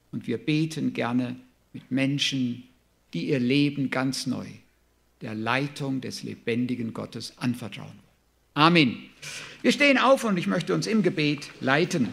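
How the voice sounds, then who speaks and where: The delivery moves at a fairly slow pace with lively intonation and long, frequent pauses. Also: man, medium pitch for a man. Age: 60s. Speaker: preacher. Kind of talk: sermon.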